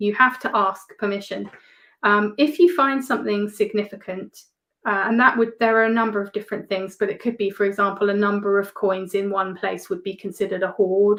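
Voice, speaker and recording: A woman with an English accent at a medium pitch, fairly quick and fairly even in intonation, against a quiet background. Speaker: metal detectorist. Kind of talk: casual interview chat.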